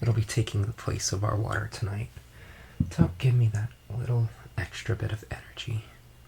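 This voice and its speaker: Soft-spoken and relaxed in tone, the speaker talks at a fairly quick pace with fairly even intonation and long, frequent pauses over noticeable background noise. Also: man, fairly low pitch for a man. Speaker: audiobook narrator. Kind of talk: casual talk to viewers. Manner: soft-spoken, relaxed.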